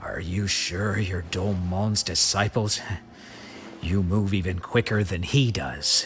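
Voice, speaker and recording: Against clear background noise, a man does a growling, put-on character voice at a fairly low pitch and a fairly slow pace. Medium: video game.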